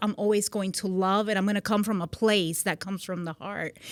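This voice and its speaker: A woman with a slight Puerto Rican accent talks at a medium pitch on a very clean recording with a silent background. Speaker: magazine CEO, military veteran. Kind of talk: podcast interview.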